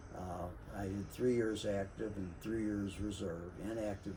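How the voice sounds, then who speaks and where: A man speaks with an American accent at a very deep, low pitch. His intonation stays fairly even at a moderate pace, with audible room echo. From US Midwest, St. Louis. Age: 80s+. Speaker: navy veteran and city worker sharing experiences. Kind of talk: casual monologue, personal storytelling. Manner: halting, many fillers.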